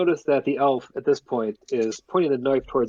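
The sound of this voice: An unforced reading voice carries this clip.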